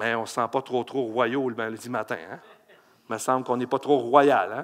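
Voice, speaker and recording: An animated voice with a Quebec accent talks at a moderate pace. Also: man. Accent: Québécois French. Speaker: pastor. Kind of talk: sermon.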